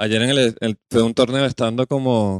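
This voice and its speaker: An unremarkable speaking voice with fairly even intonation comes through with a dry, close sound and no echo. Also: man. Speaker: podcast host. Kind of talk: casual chat. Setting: studio.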